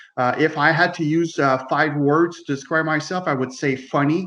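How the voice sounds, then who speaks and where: Fairly quick and fairly even in intonation, the speech comes in a French Canadian accent. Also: man. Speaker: loss prevention manager and author. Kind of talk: casual chat.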